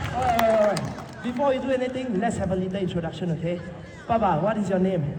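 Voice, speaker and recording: With audible room echo and noticeable background noise, a man speaks using lively intonation. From Singapore. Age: 20s. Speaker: street performer. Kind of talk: street show patter. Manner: loud; animated.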